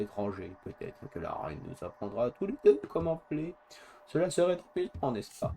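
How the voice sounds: In a hoarse, put-on character voice, a man talks at a moderate pace with a fairly high pitch that swings very widely.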